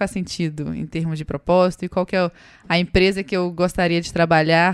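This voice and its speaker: With a Minas Gerais accent, a woman speaks at a moderate pace and fairly low pitch. Her intonation is fairly even, in a very clean recording with a silent background. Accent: Minas Gerais accent, noticeable. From Brazil, Minas Gerais. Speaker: startup co-founder. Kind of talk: podcast interview.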